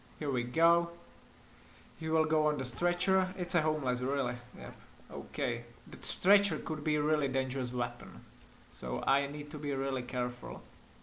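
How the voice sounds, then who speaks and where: A man with a fairly high pitch talks at a moderate pace, with long, frequent pauses. Audible room echo surrounds his voice. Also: ordinary pitch variation. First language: not English. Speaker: gaming youtuber. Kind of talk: gameplay commentary. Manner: animated.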